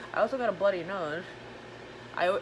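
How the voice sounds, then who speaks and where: Over noticeable background noise, a woman at a medium pitch talks very fast in an animated tone with lively intonation. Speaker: tarot reader. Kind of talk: channeled tarot reading, live stream.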